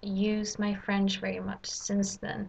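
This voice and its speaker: A woman with a Swedish accent talks at a very slow pace. Her voice is medium in pitch and somewhat breathy. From Sweden. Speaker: language learner. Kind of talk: casual vlog. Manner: halting, many fillers.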